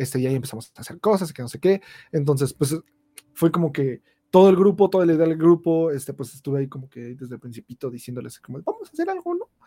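Very fast speech in a dark, mellow tone, big swings in loudness, ordinary pitch variation, and a dry, close sound with no echo. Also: man, fairly high pitch for a man. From Mexico, State of Mexico (Ecatepec). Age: 20s. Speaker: YouTuber. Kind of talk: casual chat.

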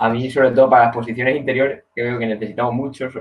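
A man talks at medium pitch in a monotone, flat way. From Spain. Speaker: basketball fan guest. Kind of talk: casual sports chat.

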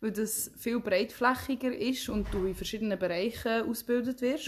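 This woman has an unremarkable speaking voice, pitched fairly high, with ordinary pitch variation. She speaks at a moderate pace. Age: 20s. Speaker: podcast co-host, trained hotel specialist. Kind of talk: casual chat. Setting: recording face to face with co-host.

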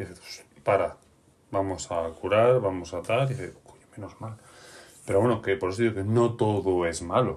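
Speaking at a moderate pace, a man with a fairly low pitch sounds somewhat breathy and shows ordinary pitch variation. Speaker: podcast host and game master. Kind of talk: casual chat.

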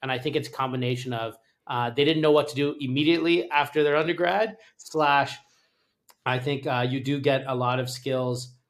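A man with a Canadian accent has a plain, everyday voice and a fairly high pitch. He speaks at a moderate pace with fairly even intonation. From Canada. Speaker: startup founder and former lawyer. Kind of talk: interview.

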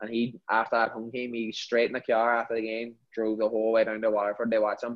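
A man with a Northern Irish accent speaks at a very fast pace. His medium-pitched delivery is monotone and flat. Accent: Derry Northern Irish. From Northern Ireland, Derry. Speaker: professional footballer. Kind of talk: casual interview.

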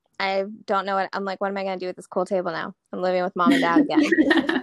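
With an ordinary speaking voice, a woman talks at a fairly quick pace and medium pitch, her intonation lively and her loudness swinging widely. The sound is dry and close, with no echo. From North Carolina, Charlotte. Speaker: woodworking business owner. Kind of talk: casual chat.

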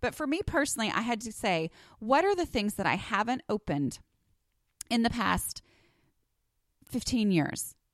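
A woman talks with very wide pitch swings and vocal fry. The recording is very clean and dry, close with no echo, over a silent background. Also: moderate pace. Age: 40s. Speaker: podcast host and blogger. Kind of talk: casual monologue. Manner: conversational with fillers.

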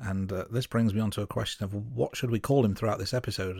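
In an English Midlands accent, a man with a fairly low pitch speaks with fairly even intonation on a very clean recording with a silent background. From Midlands, England. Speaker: film podcast host. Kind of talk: casual film review chat.

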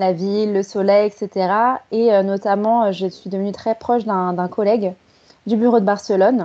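Medium-pitched woman's voice, dark and mellow in tone, at a fairly slow pace with fairly even intonation. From Paris, France. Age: 30s. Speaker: marketing professional. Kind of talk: interview.

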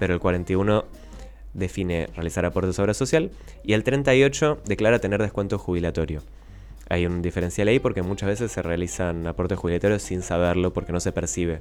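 A man's very deep, low voice, fairly quick, with ordinary pitch variation. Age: 20s. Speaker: economics columnist. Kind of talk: radio interview on economics.

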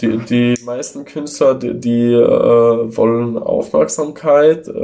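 A man's voice at a medium pitch. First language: Italian or Ladin (speaking German). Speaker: tattoo artist. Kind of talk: casual chat. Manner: hesitant, many fillers. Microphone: phone recording.

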